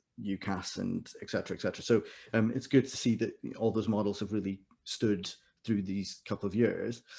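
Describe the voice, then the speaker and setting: Mumbling at a fairly quick pace, a man speaks in a fairly low, dark, mellow voice with monotone, flat intonation. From India. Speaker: music exam board manager and choir director. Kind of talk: webinar presentation. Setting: video call. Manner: fast.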